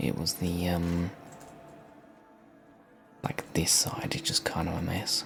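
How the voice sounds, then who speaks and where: A soft-spoken man with a very deep, low pitch and calm tone at a fairly slow pace, music in the background. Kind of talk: casual gaming commentary, relaxed ASMR-style let's play. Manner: soft-spoken, calm, relaxing.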